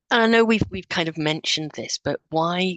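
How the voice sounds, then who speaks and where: At a moderate pace, a woman talks with ordinary pitch variation, the sound dry and close with no echo. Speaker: professor. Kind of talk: conference presentation. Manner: halting, repeats words.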